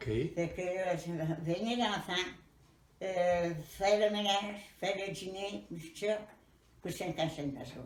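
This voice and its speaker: Speaking very slowly, a woman uses a medium-pitched voice. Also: ordinary pitch variation, big swings in loudness. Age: 80s+. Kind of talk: interview answer.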